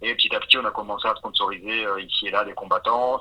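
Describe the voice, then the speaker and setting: Noticeable background noise sits under a man speaking at a very fast pace. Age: 40s. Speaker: entrepreneur. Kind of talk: interview. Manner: hesitant, many fillers.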